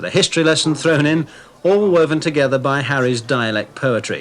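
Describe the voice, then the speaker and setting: Over noticeable background noise, a man talks at a fairly high pitch and a moderate pace with ordinary pitch variation. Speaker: TV reporter. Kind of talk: TV documentary narration.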